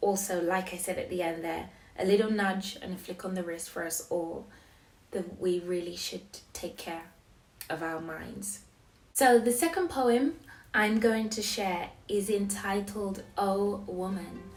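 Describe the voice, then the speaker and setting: Noticeable background noise runs under the recording. The woman talks at a fairly slow pace. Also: medium pitch for a woman, ordinary pitch variation. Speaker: poet. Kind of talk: casual talk to camera. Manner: hesitant, reflective.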